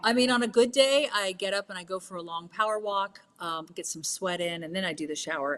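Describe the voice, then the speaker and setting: A plain, everyday voice comes through. It moves at a fairly quick pace with ordinary pitch variation. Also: woman. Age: 50s. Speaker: wellness entrepreneur. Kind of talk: casual interview chat.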